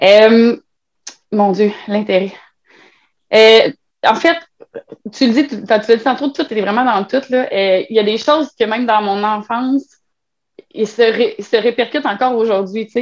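A woman talks at a very slow pace, pausing long and often, her fairly high pitch varying in an ordinary way. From Quebec, Trois-Rivières. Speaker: web writer and birth doula. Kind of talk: casual interview.

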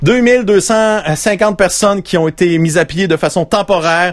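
A man in a Quebec accent. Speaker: podcast host. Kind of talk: casual chat. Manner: animated.

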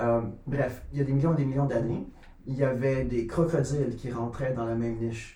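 Over noticeable background noise and audible room echo, a man talks at a medium pitch with fairly even intonation. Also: moderate pace. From Quebec, near Sorel. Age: 30s. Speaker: photographer and animal caretaker. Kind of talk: casual chat.

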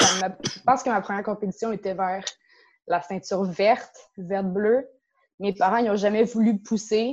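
A woman's unremarkable speaking voice, medium in pitch, with ordinary pitch variation and a fairly slow pace. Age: 20s. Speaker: karate instructor and dojo co-owner. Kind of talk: interview.

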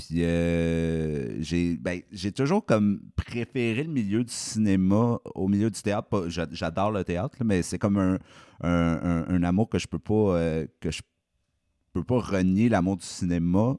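A man's very deep, low voice, dark and mellow, at a very slow pace with ordinary pitch variation, in a dry, close, echo-free and very clean recording with a silent background. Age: 20s. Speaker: film director and screenwriter. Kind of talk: casual podcast interview.

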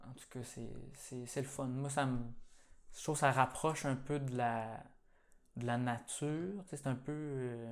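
A man talks at a very slow pace with long, frequent pauses. His pitch sits in the medium range with fairly even intonation, while his loudness swings widely. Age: 20s. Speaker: podcast host, nursery worker. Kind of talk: casual interview.

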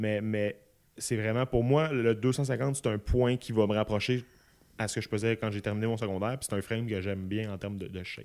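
This man has a Quebec accent and a fairly low voice. He talks at a moderate pace with fairly even intonation. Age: 20s. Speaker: podcast guest, close friend of host. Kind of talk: casual chat.

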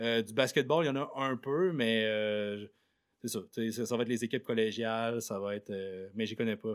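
Speaking in a plain, everyday voice, a man moves at a moderate pace with ordinary pitch variation. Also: medium pitch for a man, very clean recording, silent background. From Quebec, Côte-Nord (Sept-Îles). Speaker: radio host. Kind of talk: interview. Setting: classroom with live student audience.

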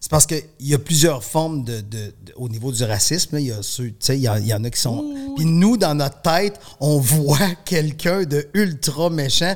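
A man with a Quebec accent and a fairly high voice speaks at a fairly slow pace. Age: 50s. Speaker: artist manager. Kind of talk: casual chat.

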